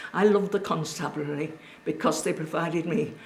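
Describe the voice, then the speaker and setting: Against noticeable background noise, a woman with a Cumbrian accent speaks at a fairly low pitch with ordinary pitch variation. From Cumbria, northern England. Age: 80s+. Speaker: local elder recalling childhood. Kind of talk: oral history interview.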